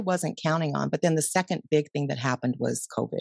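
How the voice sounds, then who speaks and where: A woman's fairly low voice with vocal fry, lively intonation and a very fast pace, in a dry, close sound with no echo. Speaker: mindfulness coach and podcaster. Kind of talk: interview conversation.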